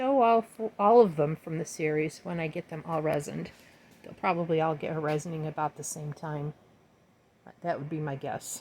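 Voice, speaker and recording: In a very deep, low voice, a woman speaks with ordinary pitch variation and big swings in loudness. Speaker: fluid art painter, video tutorial host. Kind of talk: tutorial. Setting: home art studio. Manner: casual and warm; fast.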